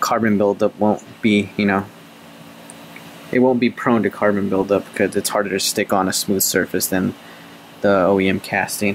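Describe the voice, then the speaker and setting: Man at a fairly low pitch with very even loudness, a moderate pace, long, frequent pauses and light background noise. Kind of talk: casual vlog chat. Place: workshop. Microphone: phone near.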